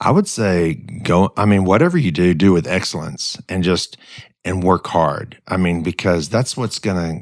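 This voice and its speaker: A man's very deep, low voice with an Arkansas accent in a very clean recording with a silent background. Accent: US Southern (Arkansas). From Arkansas, North Little Rock. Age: 60s. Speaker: business owner. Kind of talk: podcast interview. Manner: halting, many repeated words.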